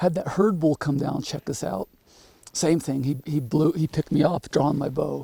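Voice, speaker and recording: A man at a moderate pace with ordinary pitch variation, a dry, close sound with no echo, and noticeable background noise. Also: fairly high pitch for a man. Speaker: hunting guide and show host. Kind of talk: outdoor hunting commentary. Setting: outdoors.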